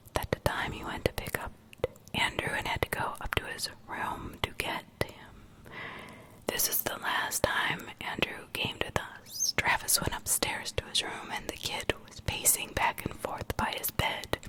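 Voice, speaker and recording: A woman's whisper at a fairly slow pace, with noticeable background noise. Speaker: ASMR creator. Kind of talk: whispered horror story reading. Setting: studio, close-mic. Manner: whispered, soft.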